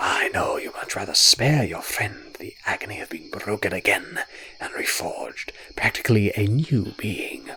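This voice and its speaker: A man whispers in a put-on character voice, gravelly and rumbling. He keeps a moderate pace. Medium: read story. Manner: condescending, sly.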